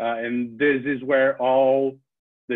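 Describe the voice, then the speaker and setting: A man with a Brazilian accent and a monotone, flat intonation. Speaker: data journalist. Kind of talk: lecture. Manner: halting, many fillers and repeats.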